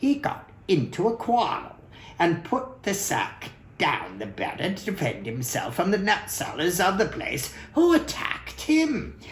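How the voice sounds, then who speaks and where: A man puts on a high-pitched character voice at a moderate pace. Clear background noise can be heard. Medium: read story. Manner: excitable, exclamatory.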